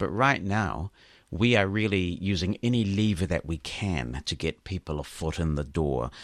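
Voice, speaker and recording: With a New Zealand accent and vocal fry, a man with a very deep, low pitch uses lively intonation. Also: moderate pace, very clean recording, silent background. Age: 50s. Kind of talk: interview.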